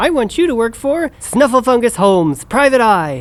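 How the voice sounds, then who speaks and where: This is a put-on character voice. It sits at a fairly high pitch. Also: moderate pace. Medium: audio drama.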